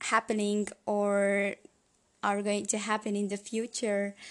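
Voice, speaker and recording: A woman with a Hungarian accent speaks at a very slow pace and medium pitch. Her intonation is monotone and flat against a quiet background. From Hungary. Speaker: podcast host. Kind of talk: solo podcast monologue. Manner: hesitant, many fillers.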